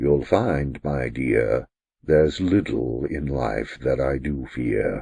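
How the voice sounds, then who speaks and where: Using a put-on character voice, the speaker goes at a very slow pace with ordinary pitch variation. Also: man, very deep, low pitch for a man. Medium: read story. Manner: stately, dry.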